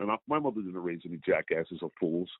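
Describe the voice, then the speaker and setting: Speaking in a very deep, low pitch, a man keeps ordinary pitch variation. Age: 70s. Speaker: customer giving a product testimonial. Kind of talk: phone testimony. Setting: phone call. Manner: animated.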